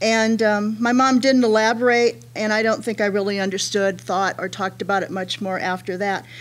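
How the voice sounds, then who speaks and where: Moving at a moderate pace, a woman talks with pitch that varies in an ordinary way. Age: 60s. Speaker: counselor on a panel. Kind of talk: panel presentation. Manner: halting, many fillers.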